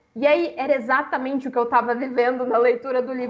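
Over noticeable background noise, a woman with a high voice speaks at a fairly quick pace. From Brazil, Minas Gerais. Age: 20s. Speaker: book influencer. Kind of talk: casual chat.

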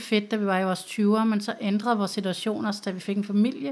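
In an ordinary speaking voice, a woman talks at a moderate pace with a medium pitch and fairly even intonation, on a very clean recording with a silent background. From Copenhagen, Denmark. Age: 30s. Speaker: social worker. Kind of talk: interview. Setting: studio.

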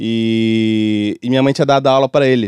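A dry, close sound with no echo, in a Rio de Janeiro accent. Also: man. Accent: Rio de Janeiro Brazilian Portuguese (carioca). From Brazil, Rio de Janeiro (Bangu). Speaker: music producer and songwriter. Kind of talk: casual interview chat. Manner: casual, with many fillers and repetitions.

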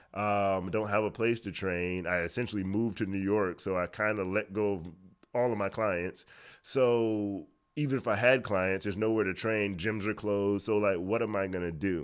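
An unremarkable speaking voice from a man with an American accent, fairly low in pitch, with fairly even intonation at a moderate pace on a very clean recording with a silent background. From Miami, Florida. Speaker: fitness trainer. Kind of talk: casual interview.

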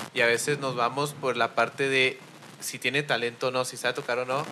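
With a normal speaking voice, a man talks fairly quickly at a medium pitch and with fairly even intonation. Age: 20s. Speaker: podcast host. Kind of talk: casual chat.

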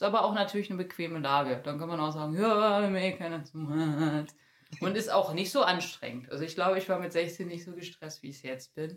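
A woman with an ordinary speaking voice talks at a fairly quick pace and fairly low pitch, with ordinary pitch variation and big swings in loudness. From Germany, Bielefeld (East Westphalia). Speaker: poetry slammer and activist. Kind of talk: interview.

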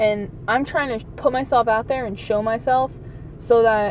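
Fairly high-pitched speech from a woman at a fairly quick pace, with noticeable background noise. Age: 20s. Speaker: podcaster. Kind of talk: solo monologue. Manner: animated.

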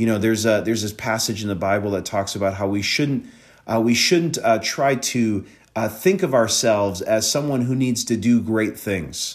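A man with an unremarkable speaking voice talks in an American accent at a medium pitch. His pace is moderate and his intonation lively. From Wisconsin. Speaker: pastor and podcast host. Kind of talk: solo podcast talk with teaching. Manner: conversational with many fillers.

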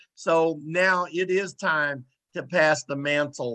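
Against a quiet background, a man with a Southern US accent speaks in a bright, sharp tone, the sound dry and close with no echo. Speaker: radio host. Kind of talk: talk radio interview. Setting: radio studio.

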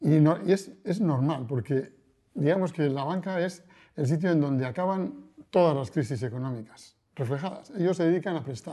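Against a quiet background, a man speaks at a moderate pace with lively intonation. His pitch is fairly high, and his tone is dark and mellow. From Basque Country, Spain (Bilbao). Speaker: financial journalist. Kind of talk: interview. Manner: hesitant, with frequent repetitions.

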